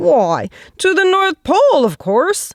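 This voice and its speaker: In a squeaky put-on character voice, the speaker talks at a fairly slow pace. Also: woman. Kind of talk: bedtime story. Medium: read story.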